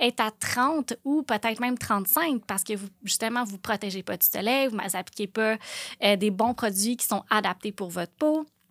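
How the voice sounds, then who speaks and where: A woman with a Quebec accent, fairly high-pitched, with ordinary pitch variation, a fairly slow pace, and a dry, close sound without echo. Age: 30s. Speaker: aesthetic clinic owner. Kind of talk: casual monologue. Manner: halting.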